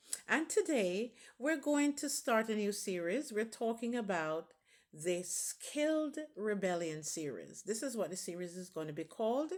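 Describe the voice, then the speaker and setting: A woman with a fairly high voice talks at a moderate pace, her pitch swinging very widely. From Jamaica. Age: 60s. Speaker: channel founder and commentator. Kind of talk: video monologue on economics.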